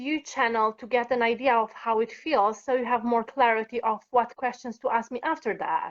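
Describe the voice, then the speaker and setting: With a Romanian accent, a woman speaks at a moderate pace in a high voice. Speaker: workshop participant. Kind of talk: live-streamed coaching session.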